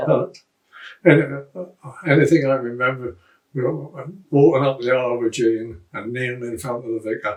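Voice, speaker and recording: A man talks at a moderate pace and medium pitch, somewhat breathy, with ordinary pitch variation and long, frequent pauses. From Great Yarmouth, Norfolk, England. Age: 80s+. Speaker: RAF veteran. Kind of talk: interview answer.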